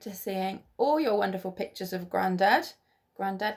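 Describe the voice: The text is read aloud plainly, its intonation fairly even. Behind it, things are quiet.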